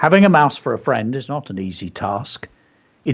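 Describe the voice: Plain reading aloud is what the recording contains.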